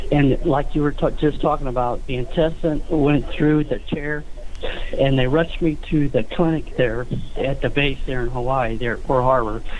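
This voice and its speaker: Over noticeable background noise and audible room echo, a man speaks at a moderate pace with fairly even intonation. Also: fairly high pitch for a man. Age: 60s. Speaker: caller, navy veteran. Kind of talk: call-in question. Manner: halting, many fillers.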